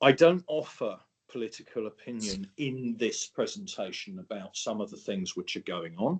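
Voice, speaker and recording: Speaking at a moderate pace in an English accent, a man lets his pitch swing very widely. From England. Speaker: presenter on geopolitical risk for insurance brokers. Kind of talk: webinar presentation.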